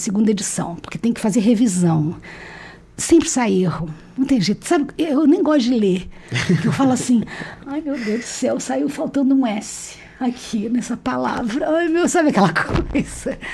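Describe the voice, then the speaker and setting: A woman with a high pitch and lively intonation talks at a moderate pace over noticeable background noise. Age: 60s. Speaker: retired history professor and publisher. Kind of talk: interview conversation. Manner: talkative, nonstop; halting, repeats words.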